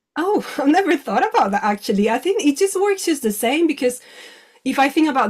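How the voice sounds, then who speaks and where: Talking at a fairly quick pace, a woman with a Spanish accent uses very wide pitch swings. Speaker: clinical hypnotherapist. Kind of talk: interview. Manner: halting.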